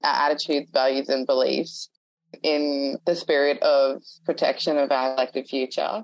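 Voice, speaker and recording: Her pitch very deep and low, a woman speaks with fairly even intonation. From north and central Queensland, Australia. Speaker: First Nations activist. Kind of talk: panel discussion.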